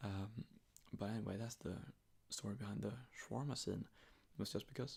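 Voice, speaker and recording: A man's soft-spoken, somewhat breathy voice at a fairly low pitch, with ordinary pitch variation and a moderate pace. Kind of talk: ASMR sleep talk. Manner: rambling, hesitant.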